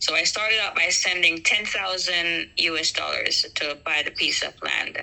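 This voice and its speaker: Noticeable background noise is present. The speaking goes at a moderate pace. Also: woman. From Jamaica. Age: 50s. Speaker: school teacher telling her story. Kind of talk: personal testimony in an interview. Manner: hesitant, many ums.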